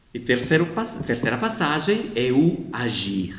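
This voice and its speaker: With a non-native accent and very wide pitch swings, the speaker goes at a fairly slow pace amid audible room echo. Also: man. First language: not Portuguese (speaking Portuguese). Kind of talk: explanatory video talk. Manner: informal, with hesitations.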